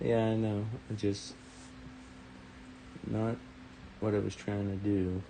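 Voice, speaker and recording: Mumbling at a very slow pace with long, frequent pauses, a man speaks at a fairly low pitch with fairly even intonation and very even loudness, and room echo is audible. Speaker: model railroad hobbyist host. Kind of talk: live stream tutorial.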